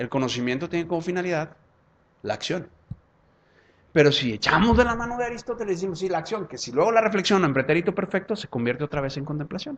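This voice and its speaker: Talking very fast in a Jalisco accent, a man with a high pitch makes very wide pitch swings. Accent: Mexican, from Zapopan. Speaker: law professor and lawyer. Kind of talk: lecture with audience Q&A.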